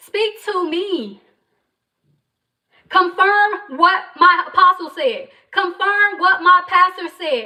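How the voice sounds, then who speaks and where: Extremely high in pitch, a woman with an American accent speaks in a raised, projected voice with a passionate tone and ordinary pitch variation. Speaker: entrepreneur livestreamer. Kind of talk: motivational faith talk on livestream. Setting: livestream. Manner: loud, passionate.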